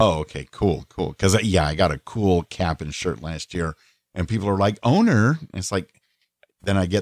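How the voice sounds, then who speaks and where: An unremarkable speaking voice from a man with an American accent, fairly low in pitch, talking at a fairly quick pace with lively intonation. The sound is dry and close, with no echo. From Southern California. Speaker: voice actor, podcast co-host. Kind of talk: casual chat. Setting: phone call.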